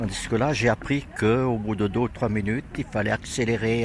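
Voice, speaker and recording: Noticeable background noise behind a man's voice, delivered at a moderate pace. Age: 80s+. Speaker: workshop participant. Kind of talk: interview.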